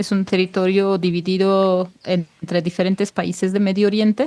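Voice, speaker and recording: A woman speaks with a Mexican accent. Her pitch is medium. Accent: Mexican Spanish accent, perfect. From Turkish-occupied Kurdistan. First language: Kurdish (speaking Spanish). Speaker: researcher on Kurdish self-governance. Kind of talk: podcast interview. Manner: halting, with many repeats.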